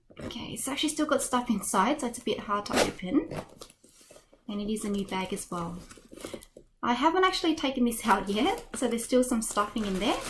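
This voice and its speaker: A woman with an Australian accent and a high pitch speaks at a fairly quick pace with lively intonation and long, frequent pauses, amid noticeable background noise. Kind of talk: unboxing video narration.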